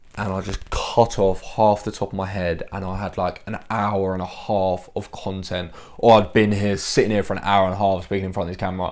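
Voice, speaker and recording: A man with an English accent talks at a fairly quick pace in a monotone, flat intonation, with hardly any pauses. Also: fairly low pitch for a man. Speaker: fitness coach and YouTuber. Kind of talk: casual vlog to camera. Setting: bedroom at home. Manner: loud.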